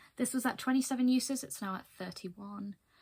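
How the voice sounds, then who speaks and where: Somewhat breathy, the woman's voice moves along at a moderate speed. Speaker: beauty vlogger. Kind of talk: casual vlog talk to camera.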